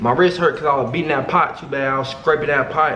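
With light background noise and audible room echo, a man speaks with ordinary pitch variation. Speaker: content creator. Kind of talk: casual vlog chat. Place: home room.

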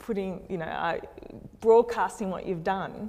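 With an Australian accent, a woman speaks with ordinary pitch variation over light background noise. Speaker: structural engineer; panelist. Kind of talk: panel discussion. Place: hall.

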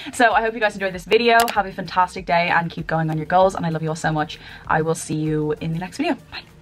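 A woman with a fairly low pitch talks at a very fast pace with ordinary pitch variation, faint music playing in the background. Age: 20s. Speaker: YouTuber and mindset coach. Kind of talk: vlog-style direct address to camera. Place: home room. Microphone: webcam.

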